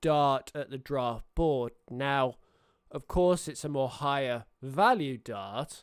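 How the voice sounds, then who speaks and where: A man speaks at a very slow pace with a British accent. His pitch varies in an ordinary way. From Britain. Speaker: sports streamer. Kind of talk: casual live stream chat. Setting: live stream. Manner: hesitant, many fillers.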